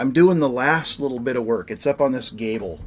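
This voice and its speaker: A man with a Pacific Northwest accent at a moderate pace, in a very clean recording with a silent background. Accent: Pacific Northwest American. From US Pacific Northwest, Washington State. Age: 50s. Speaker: whiskey livestream host. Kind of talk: casual chat. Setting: livestream. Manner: animated.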